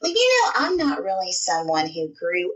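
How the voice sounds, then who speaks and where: The speaker talks at a moderate pace with a Southern US accent. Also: woman. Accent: sweet Southern US. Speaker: podcast co-host and hand lettering artist. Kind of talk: interview. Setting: remote call.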